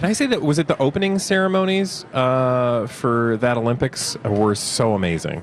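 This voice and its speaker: With an American accent, the speaker talks with very wide pitch swings and hardly any pauses while music plays in the background. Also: man, medium pitch for a man, moderate pace, very even loudness. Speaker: radio host. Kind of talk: casual radio banter.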